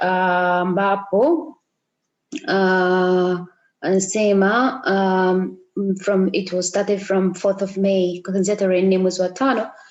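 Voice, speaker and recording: Very slowly, a woman with an East African accent speaks at a medium pitch. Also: fairly even intonation, very even loudness. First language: Swahili. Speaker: tour operator. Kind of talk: reading aloud with translation. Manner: halting.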